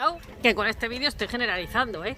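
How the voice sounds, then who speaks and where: A woman with a Spanish accent talks at a fairly quick pace, her high pitch carried by lively intonation. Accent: Spanish from Spain. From Spain. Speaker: vlogger. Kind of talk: casual talk to camera. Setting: outdoors.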